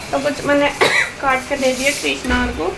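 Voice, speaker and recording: A woman speaks at a high pitch and a moderate pace. Noticeable background noise and audible room echo are present. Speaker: village vlogger. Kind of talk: vlog. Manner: casual.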